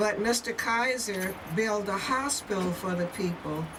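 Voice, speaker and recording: Someone with an American accent talks at a fairly slow pace with fairly even intonation, amid audible room echo and noticeable background noise. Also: woman. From US South (Louisiana), then Portland, Oregon from age 12. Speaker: grandmother sharing family history. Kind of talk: documentary interview.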